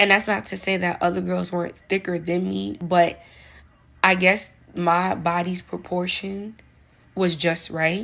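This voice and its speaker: Here's a woman with a New York accent, fairly low in pitch and fairly even in intonation. She speaks at a fairly slow pace in a very clean recording with a silent background. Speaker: vlogger giving advice. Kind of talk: casual monologue vlog.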